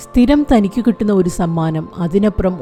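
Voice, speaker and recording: With music in the background, a woman speaks at a medium pitch with lively intonation. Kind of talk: news report narration.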